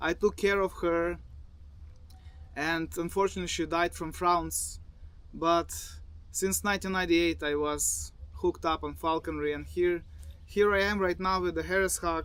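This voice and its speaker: With a Bulgarian accent, a man talks with long, frequent pauses. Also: moderate pace. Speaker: falconer, army veteran. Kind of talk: personal story. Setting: outdoors in the desert.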